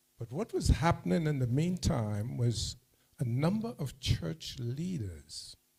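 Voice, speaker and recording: A man speaks very slowly at a medium pitch, his tone dark and mellow and somewhat breathy. His pitch swings very wide. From Saint Lucia. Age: 70s. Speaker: school alumnus speaker. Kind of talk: dinner speech.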